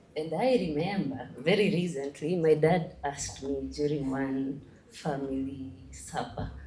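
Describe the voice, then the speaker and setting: A woman with a very deep, low pitch speaks at a fairly slow pace with ordinary pitch variation and a nervous tone. Noticeable background noise and audible room echo fill the recording. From Kenya. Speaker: young political aspirant. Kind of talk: convention speech. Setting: stage with large audience. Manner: nervous, code-switching with Swahili.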